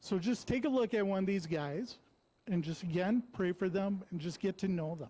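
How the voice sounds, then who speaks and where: Loud and lively in intonation, a man speaks at a high pitch with a dark, mellow tone. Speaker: recovery program aftercare coordinator. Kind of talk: church talk. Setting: church.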